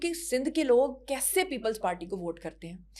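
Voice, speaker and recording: At a moderate pace, a woman speaks in an animated tone with a high pitch. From Punjab, Pakistan. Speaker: actress and model. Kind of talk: casual interview chat.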